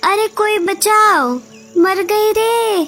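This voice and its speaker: A woman uses a loud, squeaky, put-on character voice at an extremely high pitch. Clear music plays in the background. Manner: loud, desperate.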